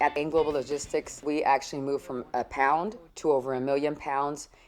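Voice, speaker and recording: With a very deep, low pitch, a woman speaks at a fairly quick pace. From Houston, Texas, with Mexican family roots. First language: Spanish. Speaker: trucking business owner. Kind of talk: documentary interview.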